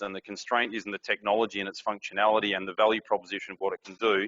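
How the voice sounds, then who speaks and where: A man with an Australian accent, fairly low pitch, flat monotone intonation and a very fast pace. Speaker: industry board member, conference speaker. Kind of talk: conference presentation.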